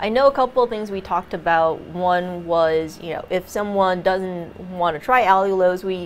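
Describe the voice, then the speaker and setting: Over light background noise, a woman with an American accent talks at a medium pitch with ordinary pitch variation. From New York. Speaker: cooking show co-host. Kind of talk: casual chat. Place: studio.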